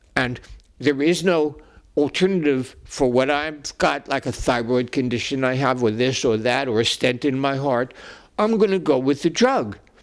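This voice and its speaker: With a New York accent, a man talks at a moderate pace and medium pitch, his pitch varying in an ordinary way, in a very clean recording with a silent background. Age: 80s+. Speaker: psychologist. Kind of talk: casual chat. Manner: halting.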